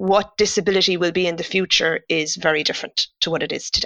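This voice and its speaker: A woman with a Cork accent talks at a fairly quick pace. Her medium-pitched voice has a bright, sharp tone. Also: dry, close sound with no echo, very clean recording, silent background. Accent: Cork Irish. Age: 50s. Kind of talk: interview conversation.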